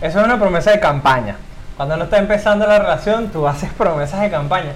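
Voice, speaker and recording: A man speaks very fast at a high pitch with ordinary pitch variation, amid noticeable background noise and audible room echo. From Venezuela (Caracas area). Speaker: podcast host. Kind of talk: casual chat.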